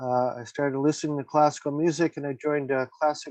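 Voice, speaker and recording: A man with an American accent speaks at a medium pitch. His intonation stays fairly even. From US Midwest, Ohio. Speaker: author. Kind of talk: interview. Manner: hesitant, many fillers.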